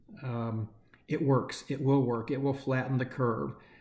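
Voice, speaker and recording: A somewhat breathy man's voice at medium pitch and moderate pace. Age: 60s. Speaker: nonprofit chief executive. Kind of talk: candid video address to staff. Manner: hesitant, many fillers.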